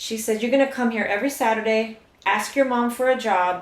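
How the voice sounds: A woman talks at a fairly quick pace, her pitch fairly high. Her intonation shows ordinary pitch variation, and there is audible room echo.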